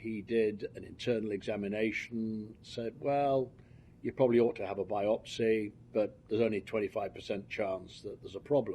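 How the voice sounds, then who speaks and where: A man with a British accent speaks at a moderate pace and medium pitch in a dark, mellow tone, with fairly even intonation and big swings in loudness. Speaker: cancer patient. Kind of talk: testimony. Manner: halting, with frequent fillers.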